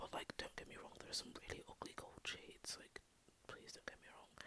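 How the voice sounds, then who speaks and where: A whisper at a fairly quick pace over noticeable background noise. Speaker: university law student, studying Spanish and law. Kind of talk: ASMR whispered rambling talk to camera. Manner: casual, rambling, chatty, somewhat awkward; whispering.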